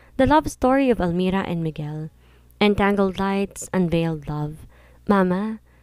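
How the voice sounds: Ordinary pitch variation shapes the speaker's natural reading voice.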